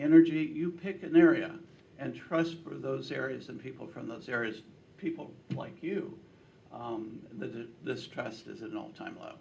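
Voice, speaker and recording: Audible room echo surrounds a man speaking at a fairly slow pace in a fairly high pitch. His intonation is lively, and vocal fry runs through his voice. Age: 70s. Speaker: political pollster. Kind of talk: speech to a breakfast meeting. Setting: breakfast meeting with audience.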